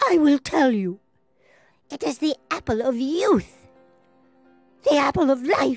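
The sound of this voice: Over faint music in the background, a woman does a put-on character voice, high in pitch, at a slow pace with lively intonation.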